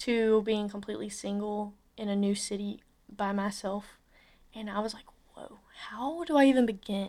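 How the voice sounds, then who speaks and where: Speaking at a moderate pace with fairly even intonation, a woman with an Alabama accent has a fairly high pitch. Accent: Southern US (Alabama). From US South, Alabama. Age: 20s. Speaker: podcast host. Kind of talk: casual solo podcast monologue. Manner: casual, filler-heavy.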